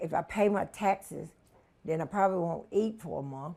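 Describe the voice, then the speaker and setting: With normal rises and falls in pitch, a woman keeps to a moderate speed. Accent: Southern US. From North Carolina, Hillsborough. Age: 60s. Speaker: homeowner. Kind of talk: interview.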